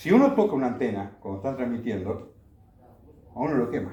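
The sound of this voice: A man at a medium pitch speaks at a fairly quick pace with lively intonation and a dark, mellow tone, his voice carrying strong room echo.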